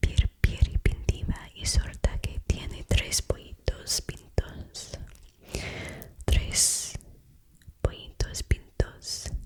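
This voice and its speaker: Whispering in a gentle tone, the speaker goes at a very slow pace with long, frequent pauses. Noticeable background noise sits behind the voice. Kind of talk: Spanish tongue twisters. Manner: whispered; soft, slow, gentle.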